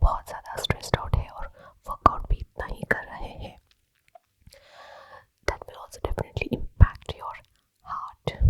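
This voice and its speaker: A woman whispers, and the sound is dry and close with no echo. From India. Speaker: ASMR creator. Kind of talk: ASMR whispered explanation. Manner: soft, whispering, calming.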